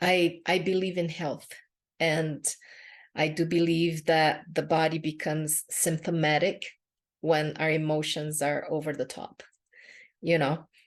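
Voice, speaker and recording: A woman speaks with a Brazilian Portuguese accent in a very deep, low pitch. Her intonation is monotone and flat, at a fairly slow pace with long, frequent pauses. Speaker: podcast host and empowerment coach. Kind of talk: podcast monologue. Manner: casual with frequent fillers.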